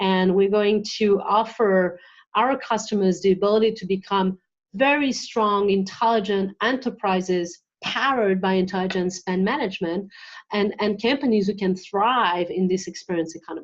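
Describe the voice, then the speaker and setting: A woman at medium pitch with ordinary pitch variation, moderate pace, and a quiet background. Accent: French. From France, west coast. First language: French. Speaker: marketing executive. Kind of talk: interview.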